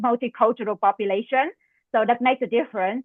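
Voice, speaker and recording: A woman with a Vietnamese accent speaks at a high pitch with ordinary pitch variation. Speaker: medical residency applicant. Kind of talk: mock job interview. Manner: halting, many fillers.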